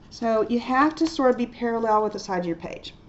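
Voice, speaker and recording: A woman's pitch varies in an ordinary way while noticeable background noise sounds behind her. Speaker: art teacher. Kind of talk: tutorial. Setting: recorded video lesson. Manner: fast.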